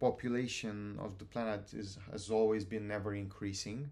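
A man speaks with a Romanian accent. His voice is fairly low, and his intonation stays fairly even. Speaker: university student, student society president. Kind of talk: casual interview chat.

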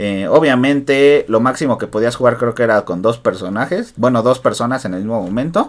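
A man speaks with ordinary pitch variation. His is a plain, everyday voice. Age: 20s. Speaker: podcast host. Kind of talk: casual chat.

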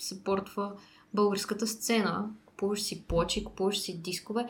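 A woman's monotone, flat delivery at a medium pitch. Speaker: podcast host. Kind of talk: casual interview. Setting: studio.

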